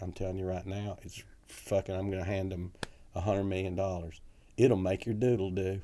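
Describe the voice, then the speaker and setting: A man with a Southern accent speaks at a fairly quick pace in a very deep, low pitch. His dark, mellow tone stays monotone, with flat intonation. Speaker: comedy club owner and comedian. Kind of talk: storytelling anecdote.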